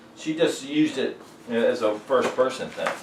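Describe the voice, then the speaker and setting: With an American accent, a man speaks at a fairly slow pace amid noticeable background noise and audible room echo. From Virginia, Richmond. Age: 60s. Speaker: singer-songwriter. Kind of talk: documentary interview. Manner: halting.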